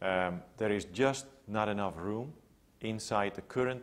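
Speaking with a Dutch accent, a man keeps a fairly low pitch and fairly even intonation. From Netherlands, Amsterdam area. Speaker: public health researcher. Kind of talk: interview. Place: home room. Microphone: lapel.

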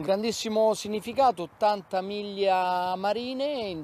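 A man speaks fairly slowly in a dark, mellow tone.

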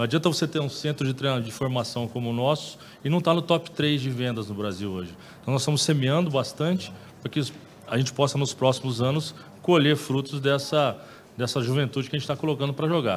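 Light background noise sits behind a man talking at a very fast pace. His fairly high pitch shows ordinary variation. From Brazil. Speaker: football club director. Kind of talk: press conference. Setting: press room. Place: meeting room. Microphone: podium.

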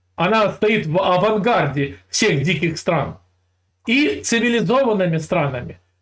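A man speaks at a high pitch with lively intonation. His pace is very slow. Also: quiet background. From Russia. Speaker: video channel host. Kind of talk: casual chat with a stranger, heated debate. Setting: California, USA. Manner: teasing, provocative. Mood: mocking, lecturing. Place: home room. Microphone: earbuds.

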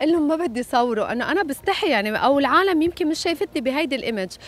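A woman speaks with lively intonation. The sound is dry, with no echo. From Lebanon. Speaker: singer. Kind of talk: interview. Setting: hotel. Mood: lively, candid. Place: waterside. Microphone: handheld.

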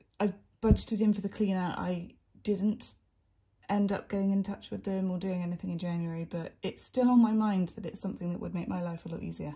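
Somewhat breathy and dark, mellow in tone, a woman talks fairly quickly with fairly even intonation over a quiet background. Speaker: budgeting creator. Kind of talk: casual vlog chat. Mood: relaxed, chatty.

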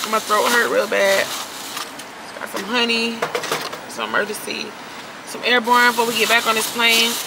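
Loud background noise fills the clip as a woman talks at a moderate pace. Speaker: vlogger. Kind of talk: casual vlog chat.

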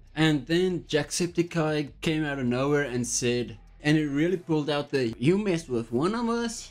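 Over faint background music, a man speaks at a moderate pace. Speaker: commentary youtuber. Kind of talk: commentary. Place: home room. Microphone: studio mic.

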